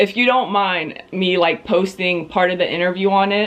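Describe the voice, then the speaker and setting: A woman talks in an ordinary speaking voice at medium pitch with fairly even intonation. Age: 20s. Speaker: real estate agent, vlogger. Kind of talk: interview answers.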